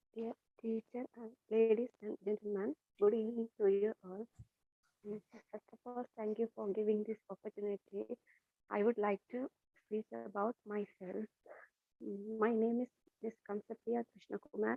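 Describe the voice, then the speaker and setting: A woman with a Tamil accent speaks at a fairly high pitch, her intonation flat and monotone. She leaves long, frequent pauses. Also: moderate pace. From Sri Lanka, Jaffna area. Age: 20s. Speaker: English class student. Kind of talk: self-introduction speech. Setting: video call.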